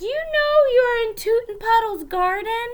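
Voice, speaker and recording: A woman's squeaky, put-on character voice at an extremely high pitch. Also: moderate pace. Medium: read story. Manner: gentle.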